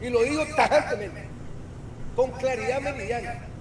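A man talks at a fairly slow pace with ordinary pitch variation, and the recording has noticeable background noise and audible room echo. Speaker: political analyst. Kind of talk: political talk show discussion. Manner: halting, repeats words.

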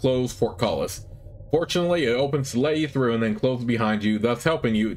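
A natural reading voice is heard here.

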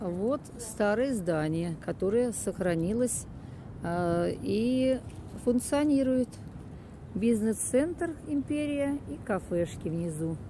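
A woman's dark, mellow voice at a very slow pace, with long, frequent pauses and very wide pitch swings, in a dry sound with no echo over noticeable background noise. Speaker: local walking guide. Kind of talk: casual guided-tour commentary. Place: street. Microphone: phone near.

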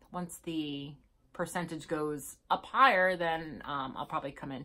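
The tone is bright and sharp, the pace moderate and the background quiet. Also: woman. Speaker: vlogger. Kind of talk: casual vlog chat. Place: home room. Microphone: phone near.

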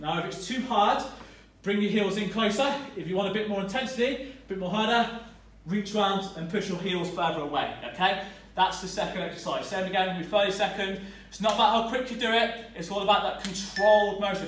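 A man's high voice at a fairly quick pace, intonation fairly even, with audible room echo and light background noise. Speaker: fitness trainer. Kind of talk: workout tutorial. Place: gym. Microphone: camera far.

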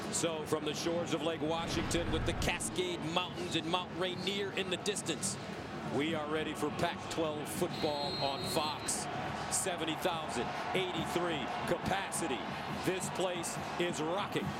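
The man talks at a very slow pace, with a dry sound and no echo. Loud background noise runs underneath. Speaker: play-by-play announcer. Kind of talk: commentary.

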